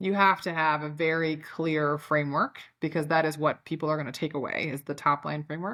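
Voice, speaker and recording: A woman with a Chicago accent speaks in a very deep, low pitch with monotone, flat intonation. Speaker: company founder and CEO, author. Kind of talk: podcast interview. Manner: casual, filler-heavy.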